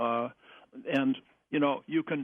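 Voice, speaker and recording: This man has a plain, everyday voice at medium pitch, with ordinary pitch variation and a moderate pace. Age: 60s. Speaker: trial judge. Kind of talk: radio interview.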